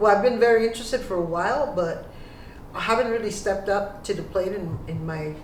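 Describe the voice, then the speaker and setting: Noticeable background noise and audible room echo fill the recording. A woman talks at a very fast pace with medium pitch and ordinary pitch variation. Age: 60s. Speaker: photographer. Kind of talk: casual chat. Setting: video call.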